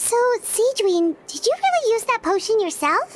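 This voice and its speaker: Putting on a squeaky character voice, a woman talks at a moderate pace with an extremely high pitch. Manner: surprised.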